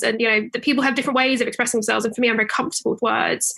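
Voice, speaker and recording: Bright and sharp in tone, a woman speaks with a British accent at a fairly high pitch with ordinary pitch variation. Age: 20s. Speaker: author and lawyer. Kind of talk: interview.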